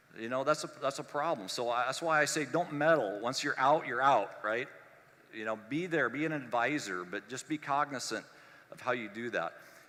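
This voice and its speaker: A man speaks in a bright, sharp tone at a moderate pace. His medium pitch shows ordinary variation. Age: 50s. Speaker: collision industry consultant and speaker. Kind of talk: conference keynote. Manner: conversational with frequent fillers.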